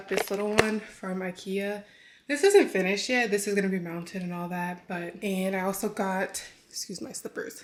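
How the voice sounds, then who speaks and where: At a moderate pace, a woman with a medium pitch and fairly even intonation speaks with big swings in loudness over noticeable background noise. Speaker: fitness coach and vlogger. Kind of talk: casual vlog. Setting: in a car.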